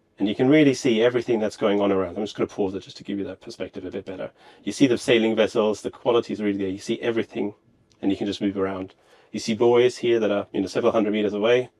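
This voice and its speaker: In a German accent, a man talks at a very fast pace. His pitch is fairly low and his intonation fairly even. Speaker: company representative. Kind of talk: interview demonstration.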